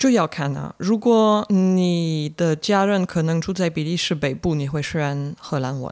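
Speaking at a fairly slow pace with hardly any pauses, a woman uses a normal speaking voice with a fairly low pitch and ordinary pitch variation. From Belgium. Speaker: foreign guest living in Taiwan. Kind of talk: casual interview chat.

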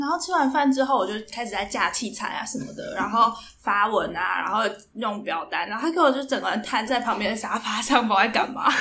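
A woman's fairly high-pitched voice at a fairly quick pace with lively intonation, amid audible room echo and noticeable background noise. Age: 20s. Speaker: podcast co-host. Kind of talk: casual chat. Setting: in-person recording together.

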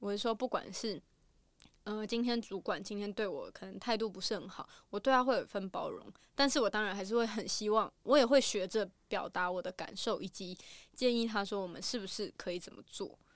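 A woman's plain, everyday voice, fairly high in pitch, at a fairly quick pace with ordinary pitch variation and big swings in loudness, on a very clean recording with a silent background. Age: late 20s. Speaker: TV program planner. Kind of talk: casual interview chat.

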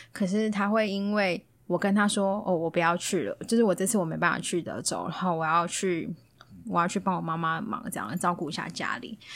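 On a very clean recording with a silent background, a woman with a plain, everyday voice speaks fairly quickly at a medium pitch with fairly even intonation. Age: 30s. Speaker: podcast guest sharing dating stories. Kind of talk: casual chat.

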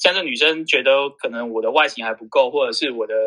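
A man's fairly high, bright and sharp voice at a fairly quick pace, with ordinary pitch variation. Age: 30s. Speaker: insurance sales manager and company trainer. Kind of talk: casual interview.

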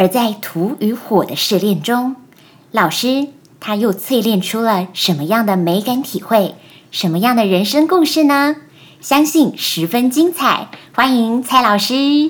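Here is a woman with an unremarkable speaking voice and a fairly high pitch. She talks at a fairly slow pace with lively intonation. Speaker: podcast host. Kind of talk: scripted interview questions. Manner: formal.

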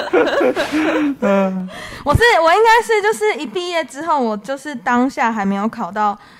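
Noticeable background noise sits behind a woman's high voice. Her pitch swings very widely. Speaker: clinic nurse. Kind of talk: casual chat.

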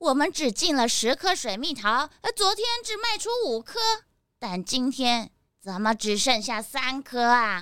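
A female-sounding put-on character voice, high-pitched, at a fairly slow pace. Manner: clucking, flustered, ends lines with a hen-like 不给.

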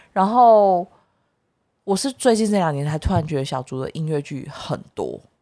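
A dark, mellow tone moves through very wide pitch swings. The recording is very clean with a silent background. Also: woman, fairly low pitch for a woman, moderate pace. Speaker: podcast co-host, musical theatre performer. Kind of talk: casual chat.

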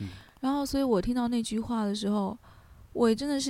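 A woman's fairly high voice with a dark, mellow tone. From China, Hubei. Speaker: graduate student and music manager. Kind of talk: casual interview.

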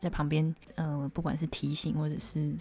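A woman speaks quietly. Her pace is moderate. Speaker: podcast co-host and illustrator. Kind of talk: casual chat. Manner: hushed, lowered voice.

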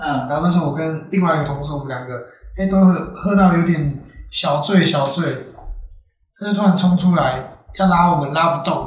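With audible room echo, a man of fairly high pitch talks at a fairly quick pace with fairly even intonation and long, frequent pauses. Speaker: loan company staff. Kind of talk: casual chat.

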